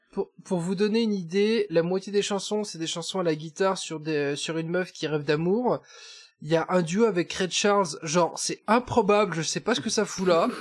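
Moderate pace and ordinary pitch variation on a very clean recording with a silent background. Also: man, high pitch for a man. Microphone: wrong or poor microphone.

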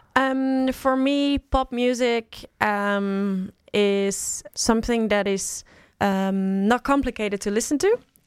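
A woman talks with a Dutch accent at a fairly high pitch and a very slow pace. The very clean recording has a silent background and a dry, close sound with no echo. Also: ordinary pitch variation. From Netherlands, small Bible Belt town. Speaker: politician. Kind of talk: interview. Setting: studio.

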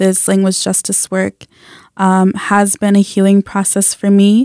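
Recorded very clean with a silent background and a dry, close sound with no echo, a woman with an American accent uses a normal speaking voice at medium pitch. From US South, North Carolina. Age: 20s. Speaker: community organizer and interpreter. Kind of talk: casual interview. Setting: radio studio.

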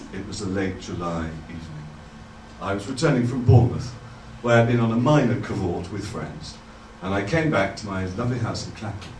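The speech moves at a fairly quick pace with ordinary pitch variation and big swings in loudness. Noticeable background noise runs underneath. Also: man, fairly low pitch for a man. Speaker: true storyteller. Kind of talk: live storytelling performance. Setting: stage with audience.

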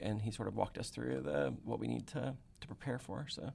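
A man with a fairly low voice and an American accent talks at a moderate pace. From Texas. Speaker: university dean. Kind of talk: interview. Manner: halting.

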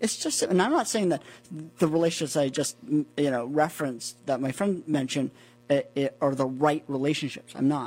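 A man uses a normal speaking voice with an American accent. He talks at a moderate pace with ordinary pitch variation. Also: fairly high pitch for a man. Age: 40s. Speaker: custom suit maker. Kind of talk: casual interview. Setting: studio.

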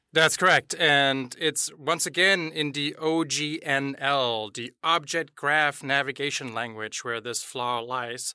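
A man with a German accent speaks at a very slow pace, barely pausing at all. His fairly high voice has a bright, sharp tone and ordinary pitch variation. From Germany. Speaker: chief information security officer. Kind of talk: casual chat.

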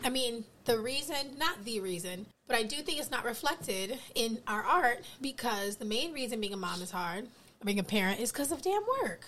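Amid noticeable background noise, a woman with an American accent speaks at a moderate pace with lively intonation. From US East Coast. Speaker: educator. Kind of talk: casual chat.

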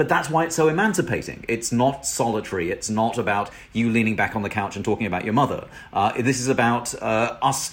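With a British accent, a man talks at a fairly quick pace in a medium pitch, his intonation lively. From Britain. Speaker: professor and author. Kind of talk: interview. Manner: halting, many repetitions and fillers.

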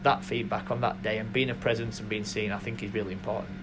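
Over noticeable background noise, a man speaks fairly quickly at a fairly low pitch. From South Yorkshire. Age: 30s. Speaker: football club chief executive. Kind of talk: interview. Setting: football stadium.

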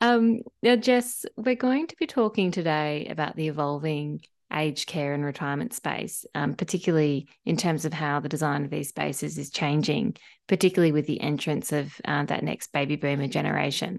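Against a quiet background, a woman with an Australian accent and a very deep, low pitch speaks at a moderate pace with lively intonation. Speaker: podcast host. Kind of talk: interview.

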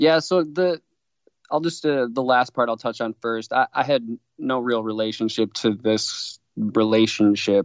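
With an American accent, a man talks at a moderate pace and a medium pitch. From Wisconsin (Milwaukee). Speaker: screenwriter and filmmaker. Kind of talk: interview. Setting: remote call. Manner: mechanical.

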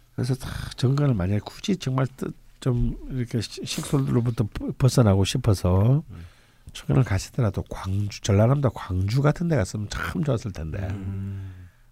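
A man talks at a moderate pace with lively intonation and a somewhat breathy voice. The recording is very clean, with a silent background. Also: medium pitch for a man. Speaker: fortune-telling (saju) lecturer. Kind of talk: casual chat.

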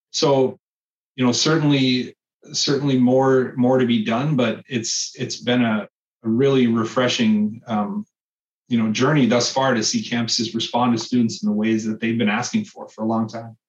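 A man's medium-pitched voice with an Upper Midwest accent, moderate pace and ordinary pitch variation. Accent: Upper Midwest (Minnesota). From northern Minnesota (Cloquet, Duluth). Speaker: state education official. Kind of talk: interview. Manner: halting, with frequent repetitions.

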